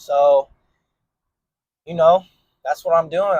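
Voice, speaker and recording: The sound is dry and close, with no echo. A man speaks at a high pitch and a fairly slow pace. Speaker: vlogger. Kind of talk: casual vlog talk. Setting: gym. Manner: casual, slangy; stuttering at times.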